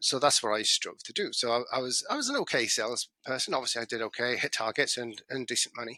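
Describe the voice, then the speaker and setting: A man with a British accent, medium pitch and a bright, sharp tone, at a very fast pace, in a dry, close sound with no echo. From UK. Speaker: business consultant. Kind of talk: podcast interview. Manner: halting, with stammers and restarts.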